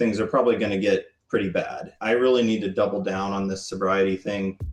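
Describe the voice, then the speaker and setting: Music plays in the background as a man talks at a fairly quick pace. His voice sits at a fairly low pitch, with monotone, flat intonation. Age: 30s. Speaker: registered nurse. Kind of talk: interview answer.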